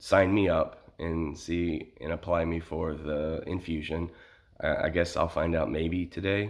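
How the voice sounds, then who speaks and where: On a very clean recording with a silent background, a man speaks fairly slowly in a very deep, low voice with flat, monotone intonation. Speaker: vlogger and kidney transplant patient. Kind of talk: personal vlog. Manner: halting, many fillers.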